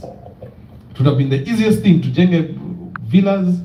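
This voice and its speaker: The man's ordinary pitch variation comes through audible room echo and noticeable background noise. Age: young. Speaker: real estate company representative. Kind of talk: presentation with Q&A at community meeting.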